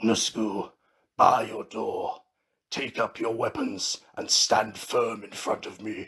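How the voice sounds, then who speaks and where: Speaking fairly slowly, a man uses a raspy, put-on character voice. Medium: read story.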